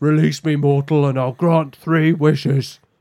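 Putting on a character voice, a man speaks at a fairly high pitch and a moderate pace with monotone, flat intonation. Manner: bargaining, pleading.

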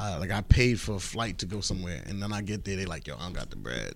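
Vocal fry runs through this man's voice. He talks at a very fast pace in a New York accent. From Queens, New York. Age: 30s. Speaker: comedian and social media entertainer. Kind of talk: casual chat.

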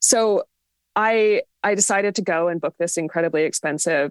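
A woman with a plain, everyday voice talks at a moderate pace with ordinary pitch variation. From Canada (northern British Columbia). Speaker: pagan writer and educator. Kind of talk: interview conversation. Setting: video call.

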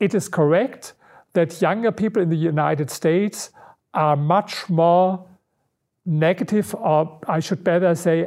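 With a German accent, a man speaks at a fairly slow pace in a high pitch, his pitch varying in an ordinary way, on a very clean recording with a silent background. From Germany, Berlin. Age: 60s. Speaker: researcher and author. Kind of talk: interview.

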